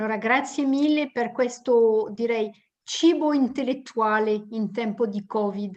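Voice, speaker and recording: A woman with a French accent speaks at a fairly slow pace. Her pitch is fairly high, with ordinary pitch variation. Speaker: webinar attendee. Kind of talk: casual thanks. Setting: online webinar.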